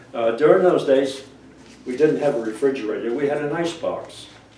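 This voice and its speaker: A man with an American accent talks at a moderate pace in a fairly high pitch, with noticeable background noise behind him. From Cape Cod, Massachusetts. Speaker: oral history interviewee. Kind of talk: interview answer.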